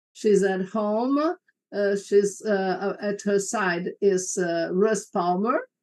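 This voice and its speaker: A woman speaks very slowly with a Portuguese accent. Her intonation stays fairly even. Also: medium pitch for a woman. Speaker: moderator. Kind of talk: panel moderation.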